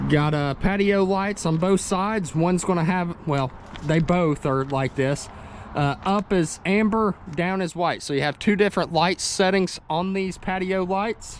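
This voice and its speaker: A man with a Tennessee accent talks at a fairly slow pace. His pitch is high, with ordinary variation. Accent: US Southern (Tennessee). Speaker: RV salesman and video walkthrough host. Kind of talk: product walkthrough tutorial. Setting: outdoors at a dealership lot. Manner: casual, conversational.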